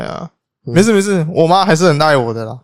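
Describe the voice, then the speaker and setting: Here a man is speaking. His tone is animated. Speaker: podcast co-host. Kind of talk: casual chat. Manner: animated, frequent laughter.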